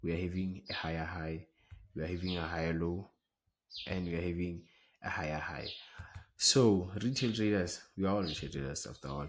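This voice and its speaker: In a very clean recording with a silent background, a man with a very deep, low pitch speaks at a fairly quick pace with ordinary pitch variation and long, frequent pauses. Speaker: trading educator. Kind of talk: tutorial. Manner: fast.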